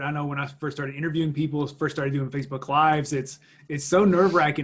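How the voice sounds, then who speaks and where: Against a quiet background, a man talks in a somewhat breathy voice with a fairly high pitch. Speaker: podcast host. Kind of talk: interview.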